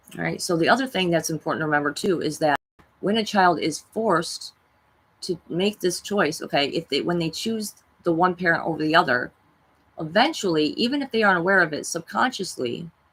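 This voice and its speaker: Delivered at a fairly quick pace with lively intonation, this is a normal speaking voice. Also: woman. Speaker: spiritual self-help vlogger. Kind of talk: monologue talk.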